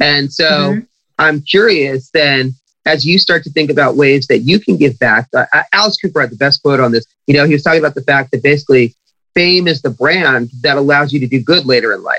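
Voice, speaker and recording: With an American accent, a man talks at a fairly quick pace in a fairly high, bright, sharp voice with ordinary pitch variation. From Long Beach, California. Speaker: podcast interviewer. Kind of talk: casual interview chat, with swearing. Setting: video call.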